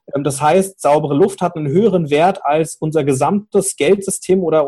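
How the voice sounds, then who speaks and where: Speaking at a fairly quick pace, a man with a fairly high pitch, ordinary pitch variation and a dark, mellow tone. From Cologne, Germany. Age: 30s. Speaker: fintech startup founder. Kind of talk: interview. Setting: remote call.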